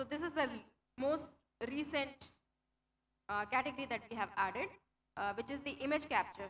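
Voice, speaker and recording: High-pitched woman with an Indian accent, fairly quick pace, ordinary pitch variation and long, frequent pauses. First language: Hindi. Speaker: tech program manager. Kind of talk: conference talk.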